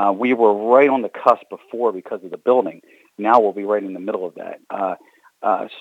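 A man with an American accent and an unremarkable speaking voice talks at a moderate pace in a fairly low pitch, his intonation fairly even but his loudness swinging widely. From Baltimore, Maryland. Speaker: arena general manager. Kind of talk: interview.

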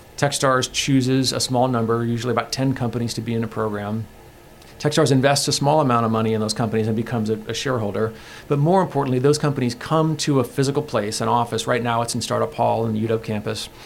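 Very fast speech with fairly even intonation, music playing in the background. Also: man, medium pitch for a man. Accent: American. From Seattle. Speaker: venture capital investor. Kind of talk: interview.

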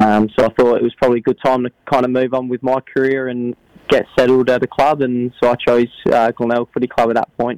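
In a South Australian accent, a man speaks at a fairly quick pace and medium pitch, flat and monotone, in a dry, close sound with no echo. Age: 20s. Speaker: footballer. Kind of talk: interview. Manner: halting.

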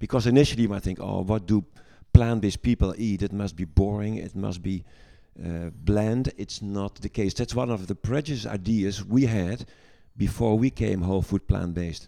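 The voice has a dark, mellow tone and a Dutch accent. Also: man, fairly low pitch for a man, ordinary pitch variation, moderate pace. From Netherlands. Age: 60s. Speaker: gynecologist and medical lecturer. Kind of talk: casual interview chat.

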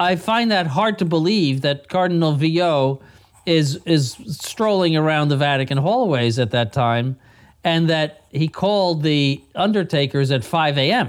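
A man's fairly high voice with lively intonation, very even loudness and a fairly slow pace. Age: 60s. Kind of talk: radio discussion panel. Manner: halting, many repetitions and fillers.

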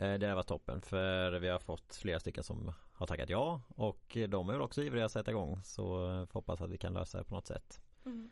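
Talking at a fairly quick pace, a man has an unremarkable speaking voice at a fairly low pitch. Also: ordinary pitch variation. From Sweden, Halland. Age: 20s. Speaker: social work student, podcast host. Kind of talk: casual chat. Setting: studio.

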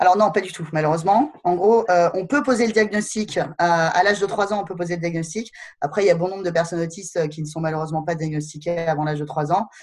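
With music in the background, a woman speaks very fast at a fairly low pitch with ordinary pitch variation. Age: 30s. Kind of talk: interview. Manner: halting, many fillers.

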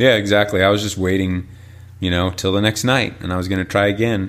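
An ordinary speaking voice from a man with an American accent, fairly low in pitch, with fairly even intonation. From northern Illinois, rural. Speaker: pastor. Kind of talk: personal testimony interview.

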